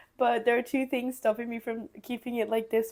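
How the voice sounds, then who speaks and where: A woman with a fairly high pitch talks at a fairly quick pace. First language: not English. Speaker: crafts youtuber. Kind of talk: casual chat; tutorial. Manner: animated.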